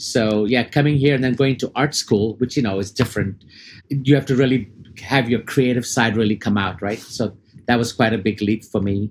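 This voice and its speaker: A man's somewhat breathy voice at a moderate pace. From India and Dubai. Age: 50s. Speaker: advertising creative executive. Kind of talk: casual interview. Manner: animated, high-energy; talkative.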